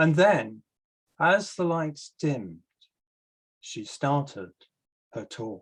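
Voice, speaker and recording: A man speaks at a very slow pace with a fairly high pitch. His voice is somewhat breathy. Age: 70s. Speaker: novelist. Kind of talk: reading aloud.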